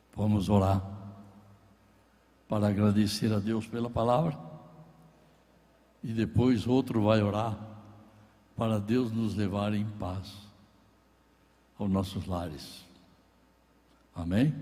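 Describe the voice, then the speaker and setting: In a room with audible echo, a man speaks very slowly with long, frequent pauses, a fairly low pitch, fairly even intonation and a dark, mellow tone. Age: 80s+. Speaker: pastor. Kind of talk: sermon. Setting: church.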